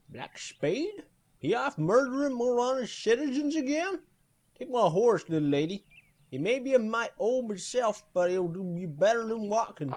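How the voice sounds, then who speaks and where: Using a gruff, put-on character voice, a man speaks at a moderate pace in an extremely high pitch with very wide pitch swings. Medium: audio drama. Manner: folksy, gruff.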